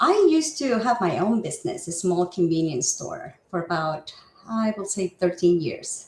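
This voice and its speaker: A woman at a medium pitch and moderate pace, her voice marked by very wide pitch swings. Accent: Spanish. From Mexico (Guadalajara), moved to Seattle area in high school. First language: Spanish. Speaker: real estate agent. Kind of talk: interview.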